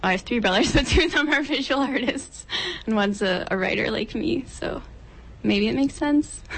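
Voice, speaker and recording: A high-pitched woman speaks fairly quickly with lively intonation. Noticeable background noise runs beneath her. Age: 20s. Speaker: poet. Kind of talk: casual interview.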